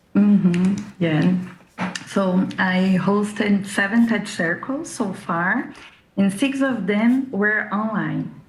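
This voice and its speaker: A woman with a Brazilian accent speaks at a very slow pace. Noticeable background noise and audible room echo fill the recording. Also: medium pitch for a woman, ordinary pitch variation. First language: Brazilian Portuguese. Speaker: discussion circle host and translator. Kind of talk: prepared talk. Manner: scripted, steady pace.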